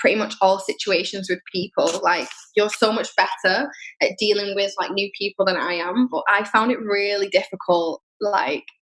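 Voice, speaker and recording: A woman with a Manchester accent talks at a moderate pace. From northern England, Manchester. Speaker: podcast guest, traveler living abroad. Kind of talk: casual chat.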